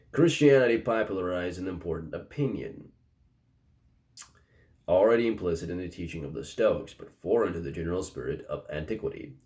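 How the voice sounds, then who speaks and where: Mumbling at a fairly quick pace, a man with a fairly low pitch and a dark, mellow tone sounds somewhat breathy, his loudness swinging widely. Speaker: philosophy commentator. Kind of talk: reading aloud from a book. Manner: slightly mumbled.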